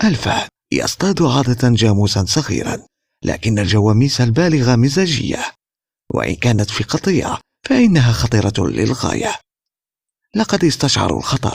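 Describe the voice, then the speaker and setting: Vocal fry and very wide pitch swings at a fairly slow pace, with very even loudness. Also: man. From Algeria. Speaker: voice-over artist. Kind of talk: wildlife documentary narration.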